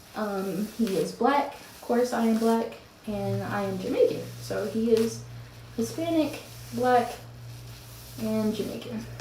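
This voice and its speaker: A woman with a slight Southern US accent speaks at a fairly slow pace, with long, frequent pauses. The room echo is audible and the background noise noticeable. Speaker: mom vlogger. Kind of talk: casual get-ready-with-me vlog. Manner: casual, chatty with fillers.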